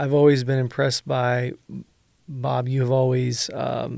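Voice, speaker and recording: The delivery moves at a fairly slow pace with monotone, flat intonation. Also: man. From northern California. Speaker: podcast host. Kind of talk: interview conversation.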